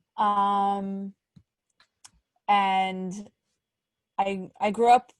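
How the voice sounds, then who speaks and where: Dry, close sound with no echo, from a woman with a New York accent, medium pitch and monotone, flat intonation. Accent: New York American. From New York, Great Neck. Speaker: podcast co-host. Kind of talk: casual chat.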